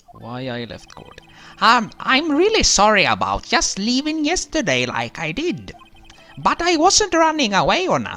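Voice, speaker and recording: Over faint music in the background, a man does a put-on character voice at an extremely high pitch and a moderate pace. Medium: game stream. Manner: ungrammatical, mumbling.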